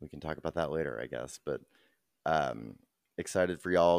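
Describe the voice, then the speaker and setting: At a very fast pace, a man talks in a very deep, low voice with vocal fry, the sound dry and close with no echo and the recording very clean against a silent background. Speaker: podcast co-host. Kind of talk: casual chat.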